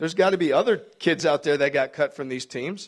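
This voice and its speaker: With a Wisconsin accent, a man speaks fairly quickly at a fairly high pitch with ordinary pitch variation, in a very clean recording with a silent background. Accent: Upper Midwest (Wisconsin). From Milwaukee, Wisconsin. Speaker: basketball coach. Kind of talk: speech to a club luncheon.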